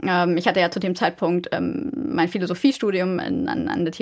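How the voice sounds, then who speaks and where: Speaking at a fairly quick pace, a woman with an unremarkable speaking voice uses lively intonation at a medium pitch. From Germany. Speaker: business ethics researcher. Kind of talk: interview.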